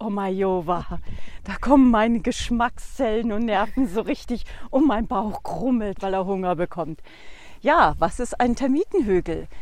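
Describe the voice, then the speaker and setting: A woman talks at a fairly slow pace with a fairly high pitch. Her intonation is lively, and the background is quiet. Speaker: lodge owner. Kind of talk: casual interview while walking. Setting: outdoors on a walking trail.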